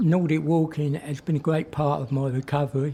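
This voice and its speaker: A man's fairly high, somewhat breathy voice has a dark, mellow tone and flat, monotone intonation. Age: 60s. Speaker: cancer patient. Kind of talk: interview.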